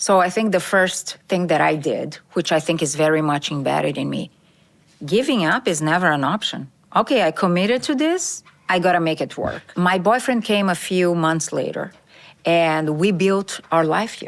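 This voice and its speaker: Fairly low-pitched woman's voice with a Brazilian accent, moderate pace and ordinary pitch variation. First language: Portuguese. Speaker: corporate diversity executive. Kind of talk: podcast interview.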